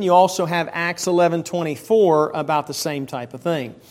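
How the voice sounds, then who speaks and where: A man's high-pitched voice in an American accent, at a moderate pace. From Pennsylvania and Maryland. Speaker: Bible teacher. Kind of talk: Sunday school lesson. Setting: church.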